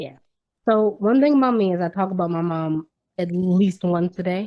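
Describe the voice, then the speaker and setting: A woman with an American accent uses an ordinary speaking voice. Her pitch is medium, with ordinary variation, and her pace is moderate. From Washington, D.C. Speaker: actress, vocalist, Reiki practitioner. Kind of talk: interview answer.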